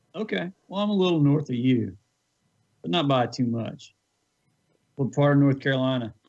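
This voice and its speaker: A man speaks with a Southern accent in a fairly high voice. He leaves long, frequent pauses. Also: lively intonation, moderate pace. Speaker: guest. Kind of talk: casual chat.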